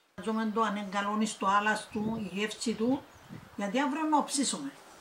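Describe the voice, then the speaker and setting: A woman speaks with a Cypriot accent at a fairly high pitch. Her pitch varies in an ordinary way, and noticeable background noise is present. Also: moderate pace. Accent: Cypriot Greek. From Cyprus. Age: 80s+. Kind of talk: interview answer.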